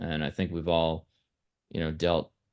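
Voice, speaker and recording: Very deep, low male voice with an American accent over a quiet background. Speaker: band member. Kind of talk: interview.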